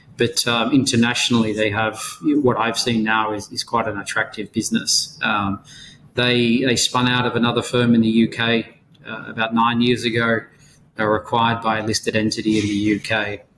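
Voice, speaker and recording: With an Australian accent, a man speaks at medium pitch and a moderate pace in a monotone, flat delivery. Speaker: insolvency and restructuring advisor. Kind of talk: podcast interview.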